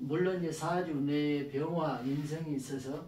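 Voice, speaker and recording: Audible room echo and noticeable background noise surround a man's voice. He speaks at a fairly slow pace, with a fairly high pitch and ordinary pitch variation. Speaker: saju fortune-telling lecturer. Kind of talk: lecture. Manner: halting, many fillers and repetitions.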